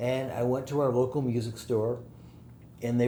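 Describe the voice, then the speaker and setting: A man talks at a moderate pace with a medium pitch and flat, monotone intonation. There is audible echo in the room. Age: 60s. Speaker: music mixer and producer. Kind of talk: casual interview chat.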